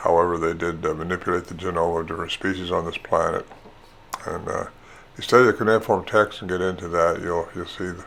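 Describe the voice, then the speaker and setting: The speech comes at a very fast pace in a flat monotone, with noticeable background noise behind it. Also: man, very deep, low pitch for a man. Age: 80s+. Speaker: Bigfoot researcher and author. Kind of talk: interview. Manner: hesitant, with many fillers.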